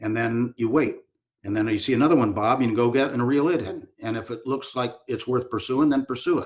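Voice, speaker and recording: Here a man speaks at a fairly quick pace. His pitch is medium and his intonation fairly even. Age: 60s. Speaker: retired army general and leadership speaker. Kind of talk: podcast interview. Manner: hesitant fillers.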